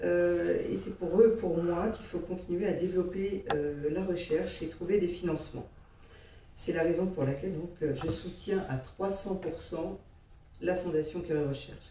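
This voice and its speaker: Amid audible room echo, a woman with a fairly low pitch talks at a fairly slow pace with fairly even intonation. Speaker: heart patient giving testimony. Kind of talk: testimony.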